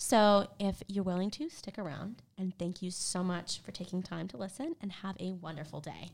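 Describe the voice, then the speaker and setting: A woman speaks with an American accent at a moderate pace. Her pitch is medium, and she has an unremarkable speaking voice. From US South, South Carolina (Greenville). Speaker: graduate student, podcast host. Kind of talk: scripted podcast introduction.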